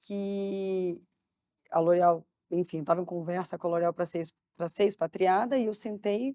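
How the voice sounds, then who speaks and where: A woman talks at a moderate pace with a medium pitch and fairly even intonation. Her tone is dark and mellow, and the sound is dry and close, with no echo. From Brazil, Barra Mansa (Rio de Janeiro state). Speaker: marketing executive. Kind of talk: interview conversation.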